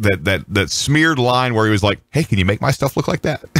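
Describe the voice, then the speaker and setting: A man rattles along at a very fast pace, his intonation lively, as noticeable background noise plays underneath. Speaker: podcast host and broadcast engineer. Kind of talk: casual chat.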